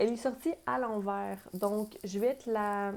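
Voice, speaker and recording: In a Quebec accent, a woman speaks at a very slow pace and medium pitch. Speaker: tarot reader and spiritual guide. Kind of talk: tarot reading. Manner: hesitant, many fillers. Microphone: new small microphone.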